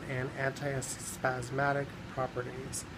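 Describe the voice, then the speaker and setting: A medium-pitched man with an American accent, with audible room echo and noticeable background noise. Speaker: herbalism vlogger. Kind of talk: informational vlog tutorial. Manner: casual, halting with frequent ums.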